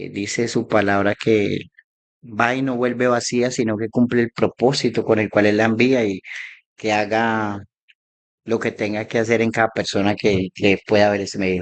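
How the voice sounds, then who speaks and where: The intonation here is monotone and flat. It belongs to a man with a medium pitch. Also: moderate pace. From Colombia, Armenia (Quindío). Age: 40s. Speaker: former homeless man giving testimony. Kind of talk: testimony. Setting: live online broadcast.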